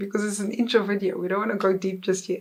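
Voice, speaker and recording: A woman speaks with a South African accent. Her pitch is medium. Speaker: content creator. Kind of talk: casual chat. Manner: relaxed; halting.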